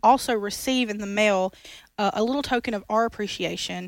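A woman with an unremarkable speaking voice, fairly high in pitch, with fairly even intonation at a moderate pace, on a very clean recording with a silent background. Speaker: former radio show producer promoting a ministry campaign. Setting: studio.

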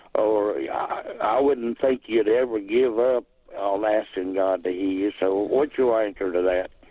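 A man with an American accent speaks at a fairly slow pace and with fairly even intonation over noticeable background noise. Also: fairly low pitch for a man. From Virginia. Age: 70s. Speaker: caller. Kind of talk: call-in question. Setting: phone call. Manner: halting.

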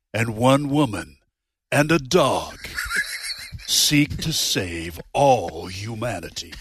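A man's put-on character voice at medium pitch, very slow in pace, with long, frequent pauses and very wide pitch swings. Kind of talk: dramatic trailer narration. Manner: dramatic.

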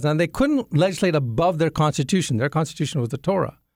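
A man with a non-native accent talks at a very fast pace, his fairly high pitch rising and falling in lively intonation. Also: very clean recording, silent background. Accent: non-Southern foreign. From grew up in Jamaica, Yemen, Sudan, Ethiopia; Indian parents. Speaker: engineer and apologetics teacher. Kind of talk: radio interview.

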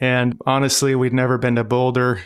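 A man's plain, everyday voice, medium in pitch, at a moderate pace, in a very clean recording with a silent background. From Montana and North Dakota, US. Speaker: pastor and missionary. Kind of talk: interview.

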